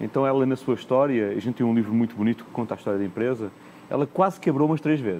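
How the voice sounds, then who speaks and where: A man's medium-pitched voice rushes by at a very fast pace. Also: ordinary pitch variation. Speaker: corporate executive, panelist. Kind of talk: conference panel discussion. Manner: frequent hesitations and repetitions.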